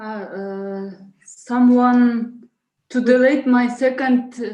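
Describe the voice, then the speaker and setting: Heard with audible room echo, the speech moves at a very slow pace in a non-native accent, with fairly even intonation and a dark, mellow tone. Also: woman, high pitch for a woman. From Kyrgyzstan. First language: not English. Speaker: conference presenter. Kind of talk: conference presentation. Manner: halting.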